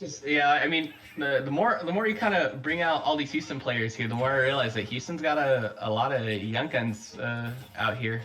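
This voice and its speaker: Noticeable background noise and audible room echo surround a man with an American accent who talks at a medium pitch and a moderate pace with lively intonation. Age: 20s. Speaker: esports commentator. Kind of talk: live commentary. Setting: live stream. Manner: halting, repeats words.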